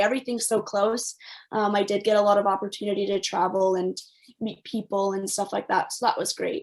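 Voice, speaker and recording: A woman with a Canadian accent at a very fast pace and a fairly high pitch. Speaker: former professional soccer player. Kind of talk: panel discussion. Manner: hesitant, many fillers.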